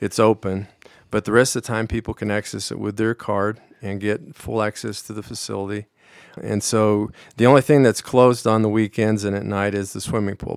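With an American accent, a man speaks at a fairly low pitch and a fairly quick pace. His intonation is monotone and flat, and the sound is dry and close with no echo. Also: very clean recording, silent background. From Colorado, Pueblo. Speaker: vice president of a community fitness nonprofit. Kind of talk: radio interview.

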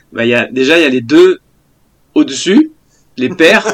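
Here a man speaks at a fairly high pitch. His intonation is lively. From France, Paris region (Val-de-Marne). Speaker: former national baseball player and TV baseball commentator. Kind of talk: casual interview chat. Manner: hesitant, many fillers.

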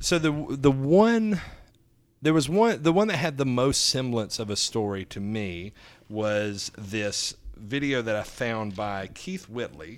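In a Southern US accent, a man with a medium pitch talks at a fairly slow pace with very wide pitch swings, on a very clean recording with a silent background. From US South, Alabama. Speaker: comedian. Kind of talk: casual chat.

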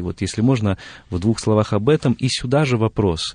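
A man with a plain, everyday voice speaks at a moderate pace with a fairly low pitch and ordinary pitch variation, the sound dry and close with no echo over a quiet background. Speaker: radio host. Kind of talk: studio interview. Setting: radio studio. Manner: formal, polite.

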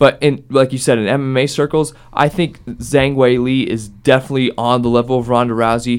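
Here is a man with an American accent in a normal speaking voice, at medium pitch. He talks at a fairly quick pace with fairly even intonation and hardly any pauses. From Ohio, US. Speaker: student radio podcast host. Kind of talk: casual sports discussion podcast.

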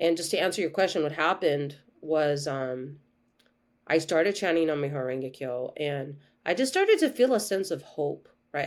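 In a normal speaking voice, a woman talks at a moderate pace with lively intonation. The recording is very clean, with a silent background. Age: 40s. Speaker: holistic health coach. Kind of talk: interview.

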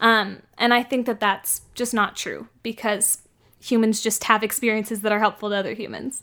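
In a very clean recording with a silent background, a woman with a West Coast accent talks at a moderate pace in a fairly high, bright, sharp voice with monotone, flat intonation. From San Francisco. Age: 20s. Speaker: magazine editor and student. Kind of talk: casual interview.

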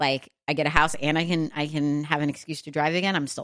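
With an American accent, a woman speaks in an animated tone at a very deep, low pitch. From Texas. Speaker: podcast host. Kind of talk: casual solo monologue. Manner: animated, chatty with laughs.

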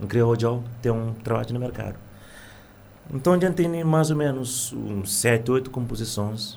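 Pausing long and often, a man speaks at a moderate pace and a medium pitch with ordinary pitch variation. Room echo is audible. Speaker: singer and music teacher. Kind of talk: radio interview.

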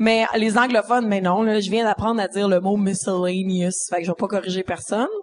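This woman talks at a very fast pace with hardly any pauses. Her pitch is medium and her intonation fairly even. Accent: Quebec. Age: 20s. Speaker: comedian. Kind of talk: casual chat. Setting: stage with audience.

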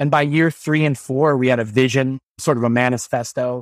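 An American accent marks this man's ordinary speaking voice. He talks at medium pitch and a moderate pace. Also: dry, close sound with no echo. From central Illinois, US Midwest. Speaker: school administrator and education consultant. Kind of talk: podcast interview.

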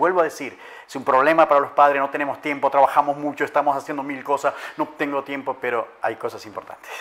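Here a man speaks at a very fast pace. His pitch is fairly high and his intonation monotone and flat. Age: 50s. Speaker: life coach and addiction specialist. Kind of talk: interview.

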